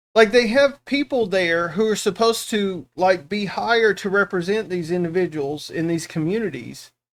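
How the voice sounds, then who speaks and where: A man with a Southern US accent speaks at a moderate pace with hardly any pauses. His pitch is high. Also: ordinary pitch variation. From US South. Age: 40s. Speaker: reaction streamer. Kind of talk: casual chat.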